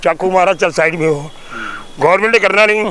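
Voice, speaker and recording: A man speaks with a high pitch. Noticeable background noise can be heard. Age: 70s. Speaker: social activist. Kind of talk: interview. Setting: outdoors. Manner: animated.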